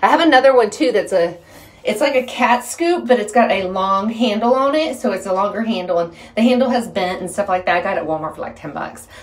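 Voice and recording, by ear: Audible room echo surrounds the speaker. The pace is fairly quick and the intonation lively. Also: woman, medium pitch for a woman.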